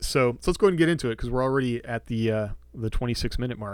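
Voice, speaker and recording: Here a man talks at a very fast pace with a medium pitch. The recording is very clean, with a silent background. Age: 40s. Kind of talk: casual solo podcast monologue. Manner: conversational with fillers.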